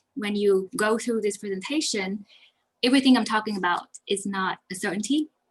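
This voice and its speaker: A woman's fairly high voice moves through ordinary pitch variation. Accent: Vietnamese. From Vietnam. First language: Vietnamese. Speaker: accountant. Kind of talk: webinar presentation. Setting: online webinar. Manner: fast.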